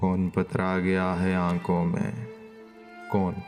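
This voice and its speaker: Over music in the background, a man talks in a very deep, low pitch. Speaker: poetry reciter. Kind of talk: poetry reading.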